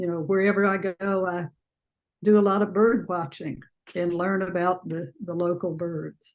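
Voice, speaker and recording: A woman's medium-pitched voice with a Southern US accent, fairly even intonation and a moderate pace. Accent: Southern US accent, still present. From US South, Alabama. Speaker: artist. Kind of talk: panel Q&A discussion. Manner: halting, many fillers.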